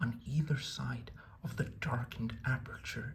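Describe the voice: The recording presents plain reading aloud marked by ordinary pitch variation.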